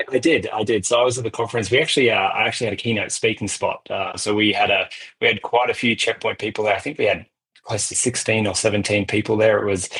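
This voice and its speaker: A man's very fast talk in an Australian accent, medium in pitch, with fairly even intonation. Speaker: cybersecurity vendor executive. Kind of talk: interview. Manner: halting, frequent repetitions.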